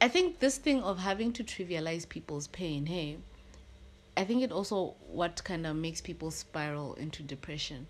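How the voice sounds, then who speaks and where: A woman with an ordinary speaking voice talks at a fairly low pitch and a moderate pace, her intonation lively, on a very clean recording with a silent background. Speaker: podcast host. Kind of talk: casual chat.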